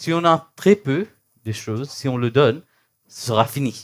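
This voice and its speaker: The speaker is a man. His pitch is fairly high. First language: not French, thinks in English (speaking French). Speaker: spiritual teacher. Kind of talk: spiritual talk (satsang). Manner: halting, searching for words.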